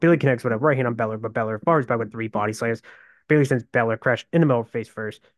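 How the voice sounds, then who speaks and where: Over a quiet background, a man talks at a very fast pace at medium pitch, the sound dry and close with no echo. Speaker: wrestling podcast host. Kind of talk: wrestling results recap, narrated play-by-play of matches. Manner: rapid, move-by-move rundown, matter-of-fact and fairly monotone; reads from notes, with some stumbles and pauses.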